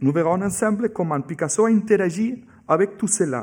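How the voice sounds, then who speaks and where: A man speaks at a fairly slow pace with lively intonation, on a very clean recording with a silent background. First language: Catalan or Spanish (speaking French). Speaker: museum curator giving a talk. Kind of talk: lecture. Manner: halting, with hesitations.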